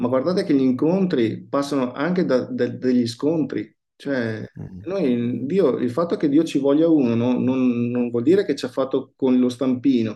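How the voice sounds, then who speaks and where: Speaking at a fairly slow pace in an ordinary speaking voice, a man with medium pitch shows ordinary pitch variation. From Verona, northern Italy. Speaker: pastor. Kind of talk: casual interview.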